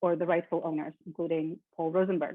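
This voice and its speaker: The speech moves at a moderate pace. It carries a Russian accent. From born in Kyiv, Ukraine; moved to the US at twelve. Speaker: keynote speaker, lecturer. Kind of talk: keynote lecture. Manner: frequent filler ums.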